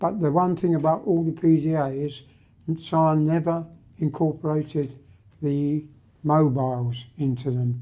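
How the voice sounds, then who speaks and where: A man with a British accent speaks fairly slowly with long, frequent pauses. His voice is fairly high in pitch, with a dark, mellow tone and fairly even intonation. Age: 80s+. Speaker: retired marine engineer and IT entrepreneur. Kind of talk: interview. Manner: halting.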